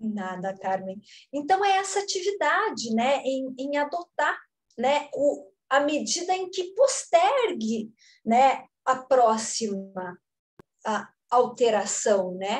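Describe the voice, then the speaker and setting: Her voice high and her pitch swinging very widely, a woman speaks at a very slow pace. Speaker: conservation and restoration teacher. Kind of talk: lecture.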